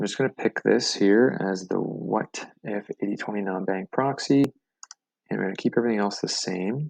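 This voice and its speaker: Recorded with a dry, close sound and no echo, a man speaks at a moderate pace in an unremarkable speaking voice, fairly low in pitch with ordinary pitch variation. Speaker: software tutorial host. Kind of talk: tutorial.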